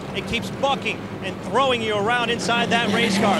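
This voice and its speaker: Over noticeable background noise, a man with an extremely high pitch talks with fairly even intonation. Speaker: pit road reporter. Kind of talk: live race commentary. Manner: rapid-fire, clipped technical updates.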